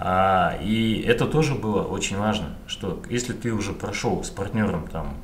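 Fairly low pitch from a man, with audible room echo and noticeable background noise. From Kazakhstan, Karaganda. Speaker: podcast host. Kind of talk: interview.

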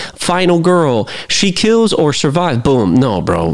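An animated man's voice with very wide pitch swings over noticeable background noise. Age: 30s. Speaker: podcast host, movie reviewer. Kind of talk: casual solo movie review.

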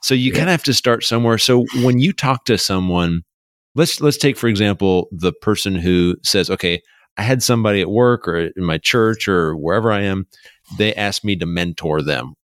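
On a very clean recording with a silent background and a dry, close sound with no echo, a man with a normal speaking voice talks at a fairly quick pace, his pitch fairly low and his intonation lively. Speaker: podcast host. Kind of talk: podcast intro and interview.

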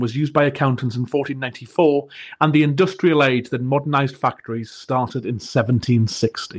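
The recording is very clean, with a silent background. The voice is somewhat breathy and moves at a fairly quick pace with hardly any pauses. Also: man. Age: 30s. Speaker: podcast host, engineering leader. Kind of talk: scripted monologue.

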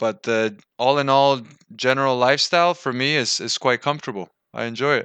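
With a Spanish accent, a man talks at a fairly quick pace and medium pitch. His tone is bright and sharp, over a quiet background. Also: ordinary pitch variation, dry, close sound with no echo. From Venezuela. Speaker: English teacher. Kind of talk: casual interview chat.

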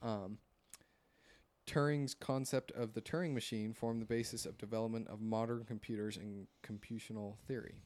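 In a normal speaking voice, a man talks at a moderate pace and medium pitch with fairly even intonation, captured on a very clean recording with a silent background. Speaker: podcast host. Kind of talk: casual chat. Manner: joking, casual.

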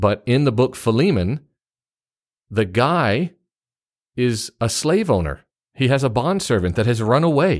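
With a Southern US accent, a man at medium pitch talks at a fairly slow pace with long, frequent pauses, very wide pitch swings and very even loudness, on a very clean recording with a silent background. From US South, Memphis, Tennessee. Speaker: pastor and podcast co-host. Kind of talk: casual Bible discussion. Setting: home studio.

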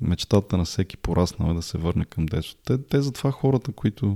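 A man speaks at a moderate pace with a very deep, low pitch and a dark, mellow tone. The recording is very clean and dry, close with no echo, over a silent background. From Bulgaria. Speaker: podcaster. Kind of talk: solo monologue podcast.

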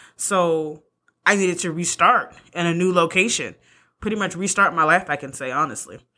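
On a very clean recording with a silent background, a woman with an American accent speaks at a moderate pace. Her pitch is fairly low with ordinary variation, and her tone is bright and sharp. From California. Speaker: podcast host. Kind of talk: casual monologue.

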